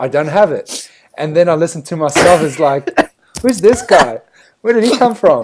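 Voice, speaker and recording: Speaking with a strong South African accent, a man uses a high pitch with very wide pitch swings, at a moderate pace. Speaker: podcast co-host. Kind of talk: casual chat.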